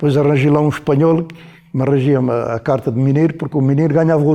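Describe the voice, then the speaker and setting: This man has a dark, mellow tone and a fairly high pitch. He talks at a very fast pace with fairly even intonation. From Alentejo, Portugal (Mértola, near the Spanish border). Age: 80s+. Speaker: former miner. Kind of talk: oral history interview answer.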